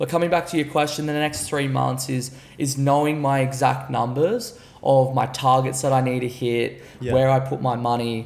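A man with an Australian accent, medium pitch, fairly even intonation and a moderate pace. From Gold Coast, Australia; Queensland, Australia. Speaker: entrepreneur; podcast guest. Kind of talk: podcast interview. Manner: casual, filler-heavy. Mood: relaxed, confident. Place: home room. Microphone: studio mic.

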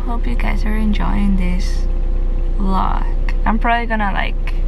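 Background noise is noticeable here. Through it, a woman's voice comes across. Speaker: vlogger. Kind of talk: casual vlog chat. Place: car. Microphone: phone near.

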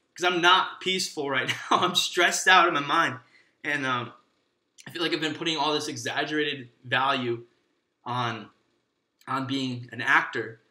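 A man with a fairly high pitch and a bright, sharp tone talks at a moderate pace, with ordinary pitch variation. Long, frequent pauses break his speech, with audible room echo and a quiet background. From Michigan, USA. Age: 20s. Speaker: actor. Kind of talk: casual podcast monologue. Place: home room.

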